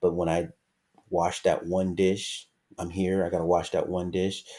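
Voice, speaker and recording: A man speaks in a very deep, low voice with a dark, mellow tone. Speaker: motivational YouTuber. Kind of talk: casual motivational talk. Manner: many fillers and hesitations.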